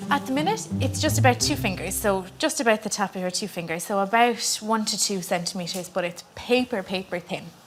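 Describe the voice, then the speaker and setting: Over music in the background, a woman in a west of Ireland accent talks at a fairly quick pace with hardly any pauses, using lively intonation at a medium pitch. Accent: west of Ireland Irish. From Ireland, County Clare. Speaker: midwife. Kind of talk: casual chat. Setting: hospital delivery suite.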